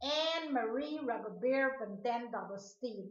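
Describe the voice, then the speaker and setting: Amid audible room echo, a woman speaks very slowly in a raised, projected voice with a bright, sharp tone and ordinary pitch variation. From Guyana, Georgetown. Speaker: video blogger. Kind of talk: personal monologue rant to camera.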